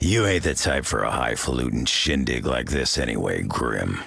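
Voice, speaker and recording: Growling and gruff, a man puts on a character voice with a very deep, low pitch and keeps a moderate pace. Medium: video game. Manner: gruff, folksy.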